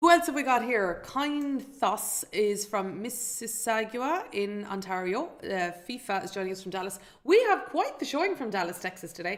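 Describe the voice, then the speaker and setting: A woman speaks at a fairly high pitch with very wide pitch swings. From Ireland. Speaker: financial educator and show host. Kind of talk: live webinar presentation. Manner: fast.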